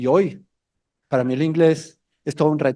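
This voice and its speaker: Over a silent background on a very clean recording, a man talks in an animated tone at a moderate pace. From Colombia. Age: 60s. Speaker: mountaineer and motivational speaker. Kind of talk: motivational talk to students. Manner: animated storytelling.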